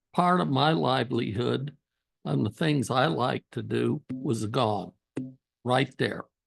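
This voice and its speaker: A man with an American accent and vocal fry speaks at a very slow pace. His intonation is lively, and the sound is dry and close with no echo. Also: medium pitch for a man. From Utah, US (Weber County). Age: 80s+. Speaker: public commenter. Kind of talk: public meeting comment.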